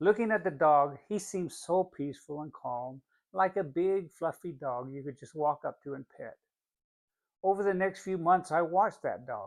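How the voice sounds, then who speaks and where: Against a quiet background, a man with a high pitch and ordinary pitch variation speaks at a moderate pace in a relaxed tone, with big swings in loudness. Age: middle-aged. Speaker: financial coach. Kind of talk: motivational talk.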